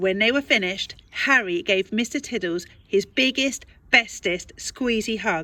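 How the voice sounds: The speaker reads in a natural reading voice.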